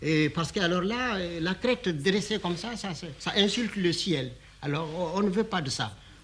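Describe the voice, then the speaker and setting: This man has a high-pitched voice. The pitch varies in an ordinary way. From Mali. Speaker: writer, diplomat, storyteller. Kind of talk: documentary interview answer. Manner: hesitant, conversational storytelling.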